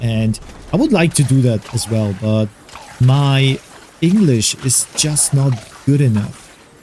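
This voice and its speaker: Noticeable background noise surrounds a man speaking at medium pitch. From Germany. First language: Polish or German. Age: 40s. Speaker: gaming YouTuber. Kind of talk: gameplay commentary.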